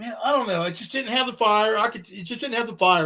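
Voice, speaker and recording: A man's raised, projected voice, high in pitch with ordinary pitch variation, bright and sharp in tone, animated and very fast. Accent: American. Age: 60s. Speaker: rock musician. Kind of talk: casual interview chat. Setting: podcast interview.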